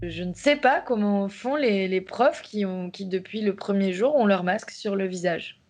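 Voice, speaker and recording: Using an unremarkable speaking voice, the speaker moves at a fairly slow pace with ordinary pitch variation. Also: woman, hardly any pauses. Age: 30s. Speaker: primary school teacher. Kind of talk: documentary interview testimony.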